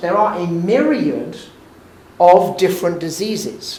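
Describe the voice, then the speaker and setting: A man speaks in a high voice, with audible room echo and noticeable background noise. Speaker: physician and lecturer. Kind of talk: lecture.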